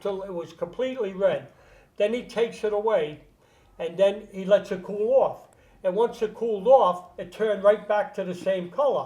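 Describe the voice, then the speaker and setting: A man speaks with a high pitch and ordinary pitch variation. His pace is moderate, with big swings in loudness. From Rhode Island. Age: 80s+. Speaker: career burglar. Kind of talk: podcast interview storytelling.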